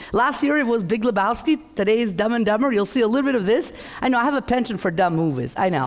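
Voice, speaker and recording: This woman talks at a very fast pace with a fairly high pitch, an animated tone and lively intonation. Her loudness stays very even, while noticeable background noise runs underneath. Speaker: economist. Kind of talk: keynote presentation.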